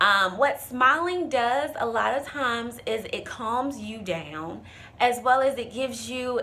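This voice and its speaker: A woman speaks at a very slow pace in a high pitch. Audible room echo surrounds her voice. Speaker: presentation coach. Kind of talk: tutorial.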